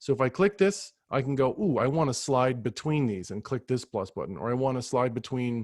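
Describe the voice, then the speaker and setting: The recording has a dry sound with no echo and a quiet background. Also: man. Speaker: ed tech trainer for teachers. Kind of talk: live virtual training tutorial. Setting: video call. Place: home room. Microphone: webcam.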